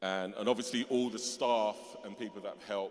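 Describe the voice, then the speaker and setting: A man talks in a London accent. His pitch shows ordinary variation. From London (Tottenham, North London). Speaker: music festival organiser, honorary graduate. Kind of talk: acceptance speech. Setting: cathedral ceremony with audience. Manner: hesitant, with fillers.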